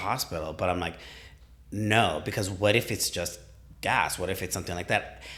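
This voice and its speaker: The speaker is loud and talks at a fairly quick pace. The recording is very clean, with a silent background. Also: man. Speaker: gym client and training partner. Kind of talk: casual chat. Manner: animated.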